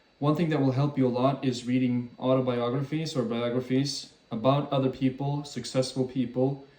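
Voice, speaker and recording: A man talks at a moderate pace and medium pitch in a monotone, flat intonation, with hardly any pauses. There is noticeable background noise. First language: French and Swedish. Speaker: YouTuber. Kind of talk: casual talk to camera.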